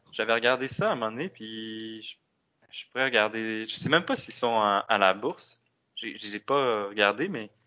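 A man in a Quebec accent at medium pitch and a moderate pace, with ordinary pitch variation and big swings in loudness. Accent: Québécois French. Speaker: economist. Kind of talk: casual interview.

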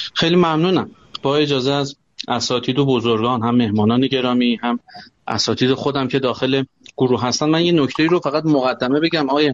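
A man speaks at a fairly quick pace in a normal speaking voice, his pitch medium. His loudness stays very even and his pitch varies in an ordinary way. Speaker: banking tech company CEO. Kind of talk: live panel discussion.

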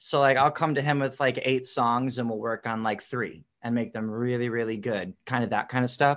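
With an unremarkable speaking voice, a man talks at a medium pitch and moderate pace, using fairly even intonation and hardly any pauses against a quiet background. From US Midwest (Wisconsin, born in Chicago). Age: 30s. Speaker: pop punk singer and bassist. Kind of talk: casual interview.

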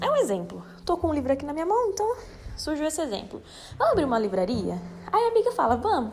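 Over noticeable background noise, a woman talks very fast in a high voice with very wide pitch swings. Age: 20s. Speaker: finance educator. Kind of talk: solo explainer podcast. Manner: casual, conversational.

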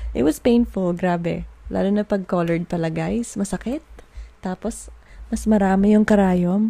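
In a Filipino accent, a woman with a dark, mellow, somewhat breathy tone speaks at a medium pitch and moderate pace with ordinary pitch variation. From Philippines. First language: Tagalog. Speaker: podcast host. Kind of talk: casual monologue. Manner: code-switching English and Tagalog.

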